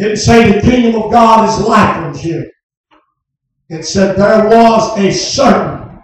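There is strong room echo and light background noise behind a man speaking at a fairly slow pace. His voice is high for a man, with ordinary pitch variation. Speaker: preacher. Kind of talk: revival sermon. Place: tent. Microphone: camera far.

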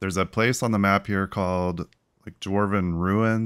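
This is a natural reading voice with fairly even intonation over a quiet background.

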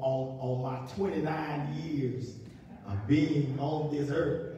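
Strong room echo surrounds a man speaking slowly at a fairly high pitch, his dark, mellow tone kept to fairly even intonation.

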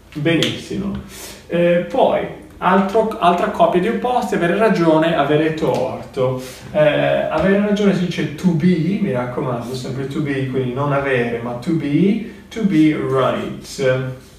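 A man speaks with audible room echo and some light background noise. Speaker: English teacher. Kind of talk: lecture. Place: home room. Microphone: camera far.

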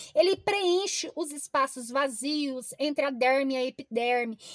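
A woman talks in a high voice with a Brazilian accent. The sound is dry with no echo, and the background is quiet. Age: 40s. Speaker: product reviewer. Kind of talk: sales pitch. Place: car. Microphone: phone near.

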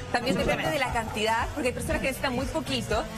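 A woman talks while clear music sounds in the background. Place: studio. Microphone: lapel.

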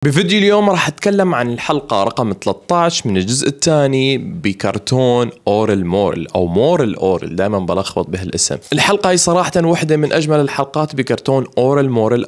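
With a quiet background, a man talks at a moderate pace with hardly any pauses. His pitch swings very widely. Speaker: YouTube cartoon reviewer. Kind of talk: casual commentary and channel outro. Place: home room. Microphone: studio mic.

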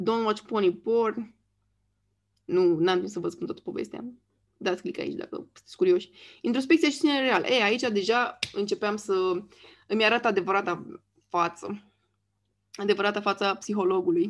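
A woman's medium-pitched voice at a moderate pace, with ordinary pitch variation and long, frequent pauses. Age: 30s. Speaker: YouTuber. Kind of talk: casual monologue. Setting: screen share recording.

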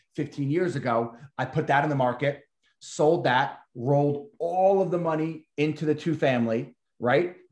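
A man with an American accent speaks at a fairly high pitch with ordinary pitch variation. Audible room echo surrounds him against a quiet background. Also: moderate pace. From New York. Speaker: realtor and real estate investor; realtor hosting webinar. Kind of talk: group coaching call. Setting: video call. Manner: animated. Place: office. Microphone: webcam.

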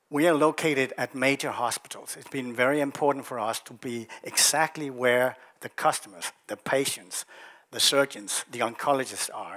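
This man's tone is bright and sharp, with fairly even intonation. He speaks at a moderate pace against a quiet background. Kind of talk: investor presentation. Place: hall. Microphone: headset.

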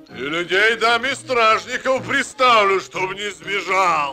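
Over faint music, a man uses a cartoonish character voice, high for a man, with a bright, sharp tone, lively intonation and a slow pace.

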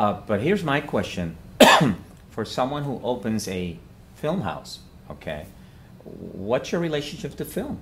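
Big pitch swings mark a fairly bright tone delivered at a fairly slow pace. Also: man, medium pitch for a man.

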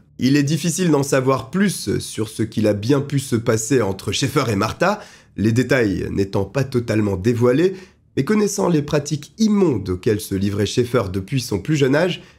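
Somewhat breathy and at a medium pitch, a man speaks at a moderate pace with very even loudness and very wide pitch swings. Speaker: true crime narrator. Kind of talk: true-crime storytelling narration, read as a scripted account. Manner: measured and suspenseful, steady storyteller pacing building tension; grave and dramatic when describing the killer's cruelty.

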